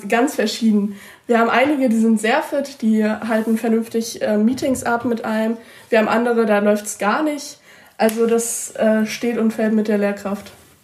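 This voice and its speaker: Speech at a moderate pace with fairly even intonation comes through noticeable background noise. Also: woman, fairly high pitch for a woman. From Mecklenburg-Vorpommern, Usedom. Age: young. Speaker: school student representative. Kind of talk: interview answers.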